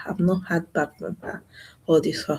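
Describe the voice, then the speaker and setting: Soft-spoken and somewhat breathy, a woman talks at a fairly quick pace with a fairly low pitch and monotone, flat intonation. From Nigeria. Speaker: YouTuber. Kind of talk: live stream monologue.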